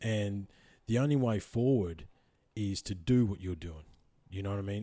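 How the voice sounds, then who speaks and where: A man with an Australian accent, fairly low in pitch, dark and mellow, with ordinary pitch variation on a very clean recording against a silent background. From central Victoria, Australia. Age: 30s. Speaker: podcast host. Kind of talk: casual interview chat. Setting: in-person, guest's house.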